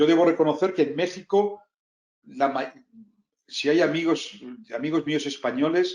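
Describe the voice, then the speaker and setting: In a Castilian accent, a man with a fairly high pitch and ordinary pitch variation speaks at a fairly slow pace, leaving long, frequent pauses. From Spain. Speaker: business executive. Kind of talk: interview talk. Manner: halting, many repetitions and fillers.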